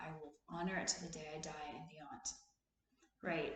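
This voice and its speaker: Audible room echo fills the space. A woman's voice comes through it. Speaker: therapist and video host. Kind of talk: casual motivational talk.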